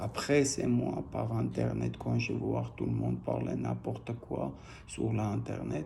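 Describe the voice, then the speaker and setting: With a non-native accent, a man speaks at a very slow pace, and audible room echo surrounds his voice. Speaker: private individual appealing to an official. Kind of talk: personal video appeal. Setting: video recording posted online. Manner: halting.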